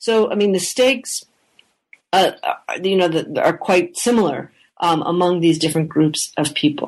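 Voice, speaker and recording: A woman with a Canadian accent speaks in a normal speaking voice. Her pitch is fairly low and her loudness very even. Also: ordinary pitch variation, moderate pace. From English-speaking Canada. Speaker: historian. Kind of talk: interview.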